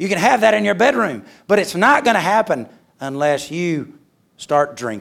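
A man with a Southern US accent talks in a high pitch that swings very widely. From Alabama, US South. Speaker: missionary and speaker. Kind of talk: sermon. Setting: church chapel with audience. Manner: humorous, jokes.

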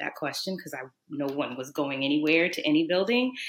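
Speaking in an American accent, a woman has a very deep, low pitch. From New Orleans, US South. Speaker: naturopathic doctor. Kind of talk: casual chat.

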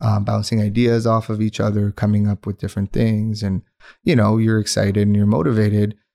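A man's fairly low, dark and mellow voice moves at a fairly quick pace in a flat monotone, recorded very cleanly over a silent background with a dry, close sound and no echo. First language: Urdu. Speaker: entrepreneur, menswear retail founder. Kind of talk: interview.

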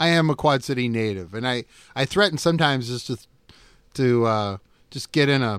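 A man's medium-pitched voice in a US Midwestern accent, fairly quick, with ordinary pitch variation, dry and close with no echo, on a very clean recording with a silent background. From Iowa, Davenport (US Midwest). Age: 50s. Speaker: college radio station operations manager. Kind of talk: interview. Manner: halting, frequent fillers and repeats.

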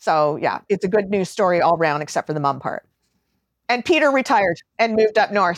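A woman with an ordinary speaking voice talks at a fairly quick pace with a Canadian accent, her pitch medium and her intonation lively. The recording is very clean, with a silent background and a dry, close sound with no echo. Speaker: cloud accounting specialist. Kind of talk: casual interview chat.

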